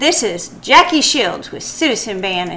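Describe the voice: A female-sounding, gruff put-on character voice, high for a woman, swings very widely in pitch at a moderate pace over clear background noise.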